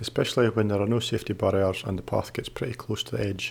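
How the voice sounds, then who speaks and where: The somewhat breathy voice comes through on a very clean recording with a silent background. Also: man. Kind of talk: travel vlog voice-over narration. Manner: monotone.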